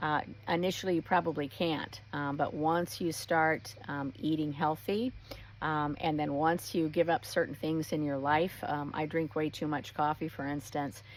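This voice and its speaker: Her pitch very deep and low, a woman talks at a moderate pace with ordinary pitch variation. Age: 60s. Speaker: wellness retreat host. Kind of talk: casual talk to camera. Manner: many fillers, um and uh.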